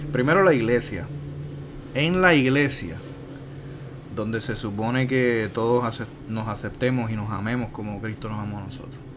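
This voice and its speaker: A man's medium-pitched voice at a moderate pace, with ordinary pitch variation, big swings in loudness, long, frequent pauses, audible room echo and noticeable background noise. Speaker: podcast host. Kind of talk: casual chat.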